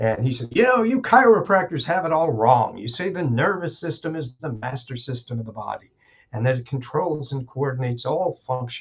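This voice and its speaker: Lively intonation and a somewhat breathy quality mark this man's voice. He talks at a fairly quick pace with a fairly high pitch. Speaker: chiropractor and educator. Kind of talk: casual interview conversation.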